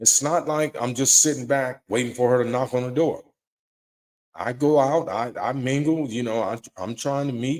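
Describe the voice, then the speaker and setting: In a plain, everyday voice, a man speaks at a moderate pace and medium pitch with fairly even intonation. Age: 60s. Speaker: live-stream show host taking callers. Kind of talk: casual monologue on relationships. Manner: repeats and stumbles over words.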